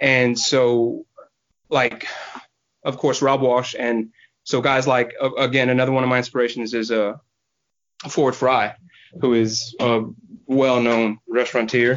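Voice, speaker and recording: A man's monotone, flat delivery at a fairly slow pace, with very even loudness and long, frequent pauses. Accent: Texan. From Houston, Texas. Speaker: barbecue pitmaster. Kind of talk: casual interview chat.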